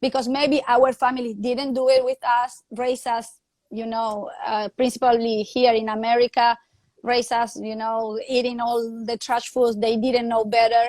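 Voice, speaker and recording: Speaking at a fairly slow pace, a woman with an Argentine accent keeps her fairly high voice monotone and flat. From Argentina. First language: Spanish. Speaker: fitness coach and live show host. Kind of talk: live video chat interview. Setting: live video call. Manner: halting, non-native phrasing.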